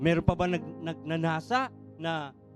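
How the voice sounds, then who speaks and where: Music sits in the background. The talking goes at a fairly slow tempo. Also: man. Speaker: church preacher. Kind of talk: sermon delivered to a congregation.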